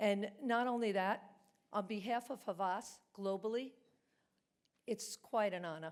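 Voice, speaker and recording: Long, frequent pauses break up a woman's fairly slow speech in a Brooklyn accent. Her pitch sits in the medium range and varies in an ordinary way. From New York, Brooklyn. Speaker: award recipient, business executive. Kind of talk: award acceptance speech.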